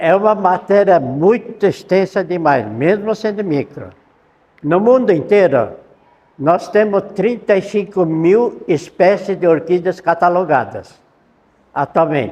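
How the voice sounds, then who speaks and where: This man's pitch is high. He speaks at a very slow pace. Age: 70s. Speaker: orchid researcher. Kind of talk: lecture. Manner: halting.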